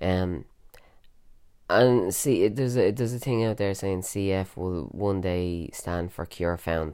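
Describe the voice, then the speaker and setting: In a Dublin accent, a man speaks with a very deep, low pitch and a dark, mellow tone at a fairly slow pace. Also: ordinary pitch variation. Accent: Irish (Dublin). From Ireland, Dublin area. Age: 30s. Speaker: podcaster with cystic fibrosis. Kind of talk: personal monologue. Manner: casual, many fillers.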